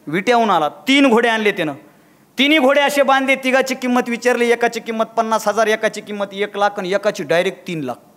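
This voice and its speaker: High-pitched man with ordinary pitch variation. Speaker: motivational speaker. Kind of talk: public speech. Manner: animated.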